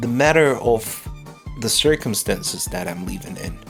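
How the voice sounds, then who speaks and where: Music plays in the background as a man speaks at a moderate pace, his medium-pitched voice carrying lively intonation. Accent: Ukrainian. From Ukraine. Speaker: stand-up comedian, podcast host. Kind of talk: unscripted podcast monologue. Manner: introspective, rambling.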